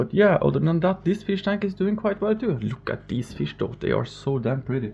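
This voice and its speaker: A fairly quick, fairly high male voice with vocal fry, very wide pitch swings and a Norwegian accent. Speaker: fishkeeping vlogger. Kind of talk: casual vlog tour. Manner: halting, stumbling over words.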